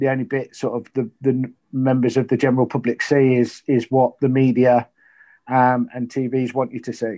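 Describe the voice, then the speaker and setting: Speaking in an East Midlands accent, a man delivers his words at a moderate pace and medium pitch, in a dark, mellow tone with monotone, flat intonation. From Leicester, England. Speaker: retired prison officer. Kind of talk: interview.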